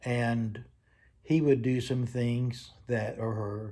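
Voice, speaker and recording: This man's voice is somewhat breathy. It carries a dark, mellow tone. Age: 70s. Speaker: grandfather interviewed for a class. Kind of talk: casual interview.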